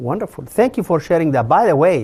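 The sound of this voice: The voice moves at a fairly quick pace, dark and mellow in tone with a slightly husky edge and big pitch swings. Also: man.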